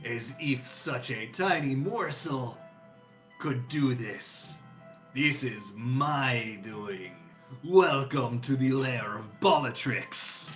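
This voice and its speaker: A man's put-on character voice at medium pitch, spoken very slowly over clear background music. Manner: menacing, gloating.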